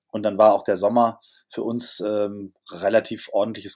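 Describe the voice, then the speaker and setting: A man's voice at a medium pitch. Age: 60s. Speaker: hotelier and restaurateur. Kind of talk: interview. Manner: hesitant with filler sounds.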